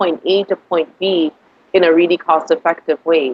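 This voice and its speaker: At a moderate pace, a woman speaks with a fairly low pitch for a woman and a monotone, flat intonation. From Grenada. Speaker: author. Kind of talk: interview.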